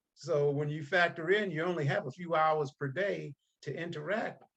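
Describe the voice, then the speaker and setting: The man's voice is somewhat breathy. His pitch varies in an ordinary way. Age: 60s. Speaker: author and speaker on fatherhood.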